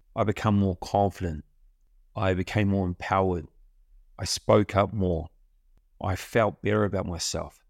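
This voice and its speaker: In a New Zealand accent, a man with a very deep, low pitch talks with fairly even intonation and long, frequent pauses, recorded very cleanly against a silent background with a dry, close sound and no echo. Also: moderate pace. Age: 50s. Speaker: podcast host, self-development coach. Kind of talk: solo motivational monologue. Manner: casual, conversational.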